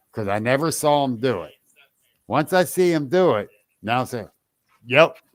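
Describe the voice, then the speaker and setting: A man's fairly high-pitched voice at a moderate pace, with lively intonation and long, frequent pauses. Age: 60s. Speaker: podcast host and Bigfoot investigator. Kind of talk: casual chat. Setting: live podcast.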